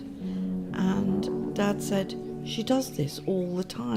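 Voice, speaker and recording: There is music in the background. A woman talks over it. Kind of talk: documentary interview answer. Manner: soft-spoken.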